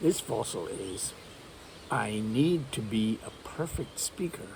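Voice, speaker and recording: Using lively intonation, a man of medium pitch speaks at a very slow pace. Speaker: English teacher. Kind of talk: casual talk to camera.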